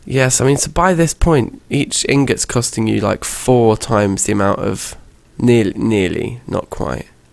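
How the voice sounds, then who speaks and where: This man's pace is fairly slow. He talks with a British accent. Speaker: gaming youtuber. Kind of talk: gameplay commentary. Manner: hesitant with fillers.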